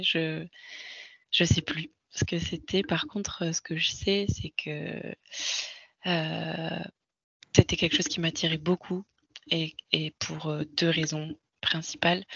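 A woman speaks at a very slow pace with a fairly low pitch and vocal fry. Her intonation stays fairly even. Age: 30s. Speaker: sophrologist and mother sharing birth story. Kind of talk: casual interview testimony.

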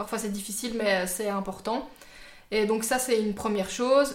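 Audible room echo surrounds a woman with fairly high pitch who speaks at a moderate pace with fairly even intonation. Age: 20s. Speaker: YouTuber. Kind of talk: casual chat.

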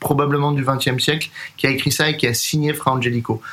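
Noticeable background noise surrounds this recording. A man speaks at a fairly high pitch and a moderate pace. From Paris, France. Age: 30s. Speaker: jazz drummer and composer. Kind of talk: interview.

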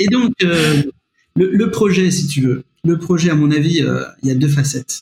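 His tone is dark and mellow, somewhat breathy. The man speaks at a moderate pace with ordinary pitch variation. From France, Nevers. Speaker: history-geography teacher. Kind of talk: podcast interview. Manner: halting, many repetitions.

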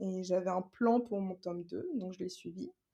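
This woman has a medium-pitched voice with a dark, mellow tone. Her intonation stays fairly even. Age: 20s. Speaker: self-published novelist and illustrator. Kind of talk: interview.

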